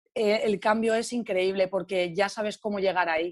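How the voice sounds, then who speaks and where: Over a quiet background, a woman with a fairly high pitch talks at a moderate pace in a plain, everyday voice. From Spain, Alicante. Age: 20s. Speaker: yoga and meditation teacher. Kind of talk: casual interview.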